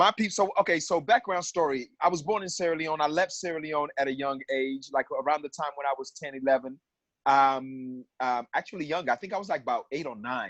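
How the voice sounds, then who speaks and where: A man with an American accent speaks at a fairly quick pace in a fairly high pitch with ordinary pitch variation, the sound dry and close with no echo. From US South, Atlanta. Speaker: stage actor. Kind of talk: casual chat. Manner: animated.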